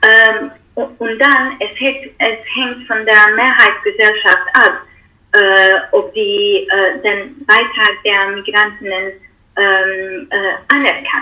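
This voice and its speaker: Her pace is very slow. The speaker is a woman with a non-native accent. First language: not German (speaking German). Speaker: political scientist, researcher. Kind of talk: interview. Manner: halting, many fillers.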